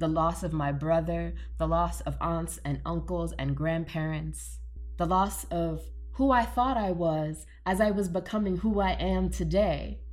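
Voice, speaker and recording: Music plays behind a woman speaking at a fairly slow pace. Room echo is audible. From New Orleans, Louisiana. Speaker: cultural anthropologist. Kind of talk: casual interview.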